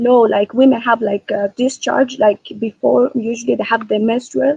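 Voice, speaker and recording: A woman with a non-native accent, fairly high pitch, vocal fry and ordinary pitch variation. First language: not English. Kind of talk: religious debate call. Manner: halting, hesitant.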